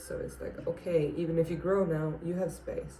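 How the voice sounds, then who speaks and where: A woman with a non-native accent and a very deep, low voice speaks at a moderate pace amid audible room echo. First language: not English. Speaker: plant youtuber. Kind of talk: casual tutorial. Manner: halting, many fillers.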